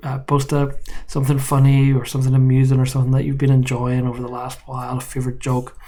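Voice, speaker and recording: The voice has a dark, mellow tone, somewhat breathy, in an Irish accent. Audible room echo surrounds it. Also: man. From Ireland. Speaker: university professor. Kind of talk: course introduction video. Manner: casual, joking.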